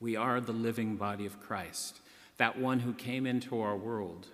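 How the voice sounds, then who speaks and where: A man speaks at a fairly slow pace with a fairly low pitch and fairly even intonation, with audible room echo. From US Northeast, western Massachusetts. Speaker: priest. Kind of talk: sermon.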